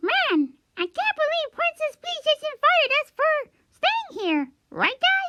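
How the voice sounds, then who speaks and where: In a put-on character voice, this squeaky, extremely high-pitched speaker talks at a fairly slow pace with very wide pitch swings. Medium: read story. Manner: casual, upbeat.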